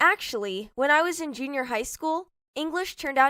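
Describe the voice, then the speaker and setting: In a raised, projected voice, a woman with a high pitch and a bright, sharp tone speaks at a fairly quick pace with lively intonation in a very clean recording with a silent background. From Hong Kong. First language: Cantonese. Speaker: IELTS speaking sample candidate. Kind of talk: scripted mock exam interview.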